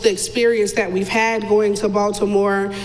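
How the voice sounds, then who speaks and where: A woman speaks loudly in an American accent, with noticeable background noise and audible room echo. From North Carolina. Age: 30s. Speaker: mother of a child with a rare disease. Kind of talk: interview.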